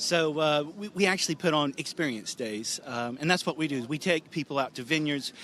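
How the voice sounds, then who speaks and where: A man with a plain, everyday voice and an American accent talks at a fairly quick pace in a fairly high pitch with ordinary pitch variation. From US, Northern California. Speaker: wine tour operator. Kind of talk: radio interview.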